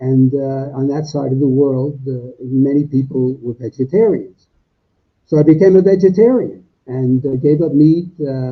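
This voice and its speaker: This man's voice is fairly high and somewhat breathy. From US Northeast, Brooklyn, New York. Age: 80s. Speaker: plant-based diet author. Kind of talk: interview. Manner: halting, many fillers.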